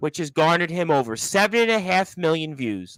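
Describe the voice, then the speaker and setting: An unremarkable speaking voice, a man's and fairly high in pitch, moves at a moderate pace on a very clean recording with a silent background and a dry, close sound with no echo. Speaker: radio show host. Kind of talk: formal ceremony announcement.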